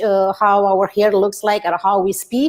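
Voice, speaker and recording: In a slight Romanian accent, a woman with a fairly high pitch talks at a moderate pace. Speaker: author and relationship coach. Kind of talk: interview. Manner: halting.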